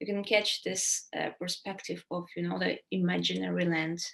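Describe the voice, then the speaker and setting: A woman speaks with a Ukrainian accent. Her pace is moderate. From Ukraine. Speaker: writer. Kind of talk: interview Q&A.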